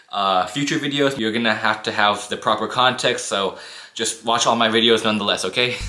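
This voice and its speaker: Music plays behind a man at a medium pitch. He keeps a fairly quick pace and fairly even intonation. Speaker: YouTuber. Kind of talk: storytime monologue. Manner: monotone at times; casual, conversational.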